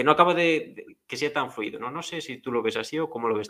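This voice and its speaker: A bright, sharp tone at a very fast pace with lively intonation. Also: man. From rural Galicia, Spain. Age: 20s. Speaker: podcast host. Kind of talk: casual chat.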